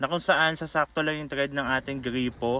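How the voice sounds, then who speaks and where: An unremarkable speaking voice from a man, fairly high in pitch, with fairly even intonation. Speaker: vlogger. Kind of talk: tutorial. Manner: casual.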